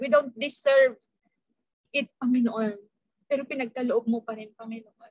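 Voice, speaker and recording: At a moderate pace, a woman speaks in a high pitch, the sound dry with no echo and the background quiet. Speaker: preacher. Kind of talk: sermon. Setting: video call. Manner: formal; earnest. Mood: earnest, personal testimony. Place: home room. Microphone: webcam.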